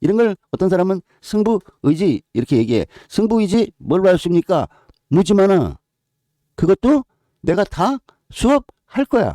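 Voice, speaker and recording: A man's high-pitched voice with a dark, mellow tone, long and frequent pauses, and a dry, close sound with no echo. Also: lively intonation, very even loudness. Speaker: horse racing tipster. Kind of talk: tutorial. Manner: slow; casual.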